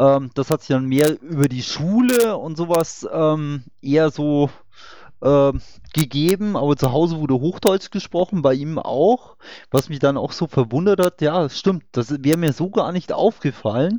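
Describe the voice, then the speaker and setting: A man with a dark, mellow tone speaks at a fairly high pitch and a fairly slow pace. His intonation is lively, and the sound is dry and close with no echo. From Upper Bavaria. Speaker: online discussion host. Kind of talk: casual panel discussion. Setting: voice chat online.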